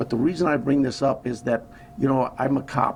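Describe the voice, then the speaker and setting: A man speaks at a medium pitch with an American accent. Noticeable background noise is present. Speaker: sheriff. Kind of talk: press conference. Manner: soft-spoken; halting.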